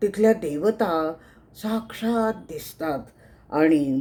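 Dark, mellow female speech on a very clean recording, the background silent. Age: 70s. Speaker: meditation class student. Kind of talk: testimony. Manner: halting.

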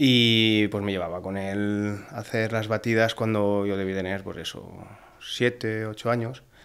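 A man speaks at a fairly slow pace. His pitch is fairly low, and his intonation is monotone and flat. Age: 40s. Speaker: hunter; podcast guest. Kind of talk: casual chat. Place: studio. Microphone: studio mic.

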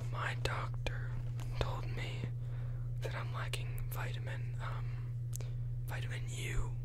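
A man at a very slow pace with long, frequent pauses, under loud background noise. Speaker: ASMR creator. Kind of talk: bad pickup lines read in a humorous way. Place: home room. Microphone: studio mic.

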